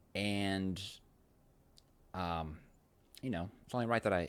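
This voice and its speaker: A man at a fairly slow pace with ordinary pitch variation, on a very clean recording with a silent background. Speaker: video podcast host. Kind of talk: casual monologue. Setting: outdoors on a sunny day. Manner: halting, many fillers.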